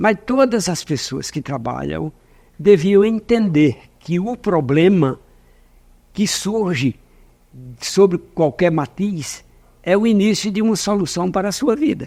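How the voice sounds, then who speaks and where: Very slow speech with long, frequent pauses carries a dark, mellow tone and lively intonation. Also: man, high pitch for a man. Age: 70s. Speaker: business owner, former public finance official. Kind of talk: interview.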